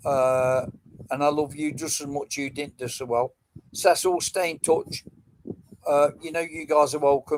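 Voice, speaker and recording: Fairly even intonation marks this fairly slow delivery in an English accent. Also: man. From England, Nottingham. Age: 70s. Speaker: metal detecting live streamer. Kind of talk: casual live stream chat. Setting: live stream.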